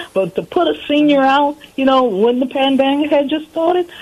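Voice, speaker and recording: The speaker is a woman. Noticeable background noise runs behind her. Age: 60s. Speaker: caller. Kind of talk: personal testimony.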